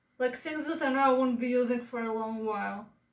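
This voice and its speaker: Audible room echo surrounds a woman's voice. Her pitch is high, with ordinary variation. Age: 20s. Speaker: vlogger. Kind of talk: casual vlog chat. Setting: at home, filming own room. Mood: playful, joking. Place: home room. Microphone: phone near.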